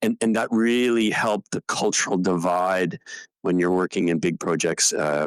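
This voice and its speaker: A Canadian accent at a moderate pace, with ordinary pitch variation and very even loudness, in dry, close sound with no echo. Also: man, very deep, low pitch for a man. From Canada, Ontario. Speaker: retired fighter and test pilot. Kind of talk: podcast interview. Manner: halting, with frequent fillers.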